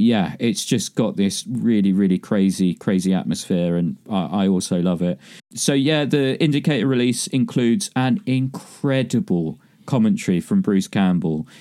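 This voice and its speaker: In a very clean recording with a silent background, a man with a medium pitch and a dark, mellow tone speaks with very wide pitch swings. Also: moderate pace, very even loudness. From east London (Barking). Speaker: film podcast co-host, writer and director. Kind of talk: casual film discussion. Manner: sounds rehearsed.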